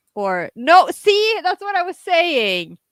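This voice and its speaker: Projecting a raised voice at an extremely high pitch, a woman speaks very slowly with very wide pitch swings and a bright, sharp tone, the sound dry and close with no echo. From Norway. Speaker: podcast co-host. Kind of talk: casual chat. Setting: live stream.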